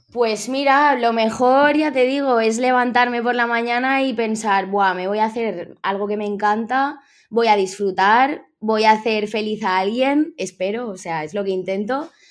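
In a normal speaking voice, a woman speaks at a fairly slow pace with hardly any pauses, her fairly high pitch showing ordinary variation, on a very clean recording with a silent background. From Spain, Villarreal (Valencian Community). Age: 20s. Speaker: tattoo artist. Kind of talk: interview.

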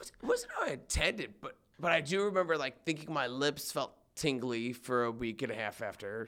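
With an unremarkable speaking voice, a man talks fairly quickly in a fairly high pitch and with lively intonation. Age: 20s. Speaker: podcast guest. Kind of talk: casual chat.

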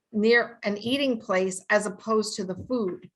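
In a New York accent, a woman speaks at a fairly slow pace. Her voice is fairly high, with ordinary pitch variation. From US Northeast, New York City. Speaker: sensory scientist. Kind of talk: interview.

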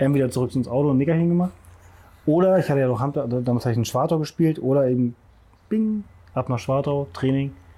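Delivered at a very fast pace yet broken by long, frequent pauses, this dark, mellow voice carries lively intonation. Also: man, fairly high pitch for a man, very even loudness. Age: 40s. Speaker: CrossFit masters athlete and personal trainer. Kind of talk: casual interview. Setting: outdoors in a garden.

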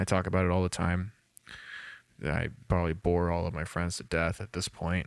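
A man speaks at a low pitch with vocal fry.

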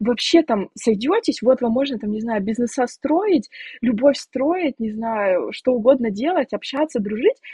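This woman's high voice swings very widely in pitch. She talks at a fairly slow pace. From Siberia, Russia. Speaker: podcast guest. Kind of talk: casual chat. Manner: animated.

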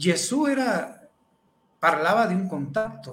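The pace is very slow. The intonation is lively. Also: man. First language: Spanish (speaking Italian). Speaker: psychologist. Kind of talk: talk.

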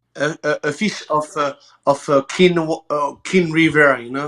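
A man with a French accent and a fairly high pitch speaks at a moderate pace with fairly even intonation and big swings in loudness, the sound dry and close with no echo. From France. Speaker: emergency medic. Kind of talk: casual chat. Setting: video call. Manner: halting.

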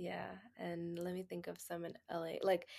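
On a very clean recording with a silent background, a woman talks with an American accent. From Texas. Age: 20s. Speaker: healthcare administration resident. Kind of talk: casual chat.

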